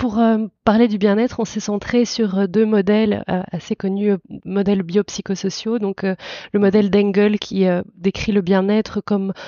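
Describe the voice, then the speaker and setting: A woman's medium-pitched voice with a slight Belgian accent, monotone, flat intonation and a moderate pace. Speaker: psychologist and university lecturer. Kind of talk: podcast interview. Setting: audio podcast.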